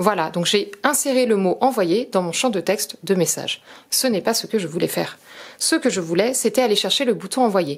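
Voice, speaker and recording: The speaker has an ordinary speaking voice with lively intonation. The pace is moderate. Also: woman, medium pitch for a woman. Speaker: product demonstrator. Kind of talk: tutorial.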